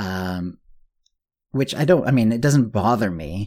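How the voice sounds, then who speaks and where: A man at medium pitch, moderate pace and lively intonation. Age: 50s. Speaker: podcast host. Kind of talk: casual solo monologue. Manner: hesitant, many fillers.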